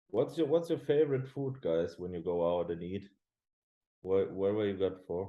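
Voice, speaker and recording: The voice moves at a moderate pace with very wide pitch swings. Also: man, fairly low pitch for a man. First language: German. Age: 20s. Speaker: professional bodybuilder. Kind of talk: casual chat. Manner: halting.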